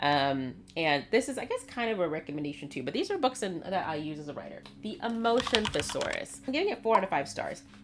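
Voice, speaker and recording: Over noticeable background noise, a woman at a medium pitch talks at a very fast pace with very wide pitch swings. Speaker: writer and YouTuber. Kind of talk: casual vlog talk. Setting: home video filming.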